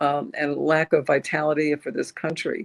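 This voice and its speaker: With an American accent, a woman speaks at a moderate pace in a very deep, low voice and a monotone, flat intonation. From New Jersey, US. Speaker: author. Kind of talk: interview. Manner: halting.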